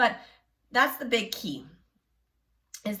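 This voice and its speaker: A woman speaks in a fairly high pitch with a bright, sharp tone. Vocal fry runs through her voice. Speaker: self-help video creator. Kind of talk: instructional talk. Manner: coughing while talking; casual, conversational.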